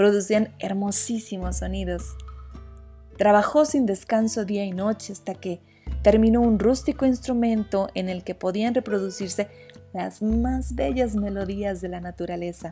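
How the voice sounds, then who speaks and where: Music plays in the background. A soft-spoken woman talks at a fairly slow pace. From Mexico. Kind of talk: sleep story. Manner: soft-spoken, relaxing.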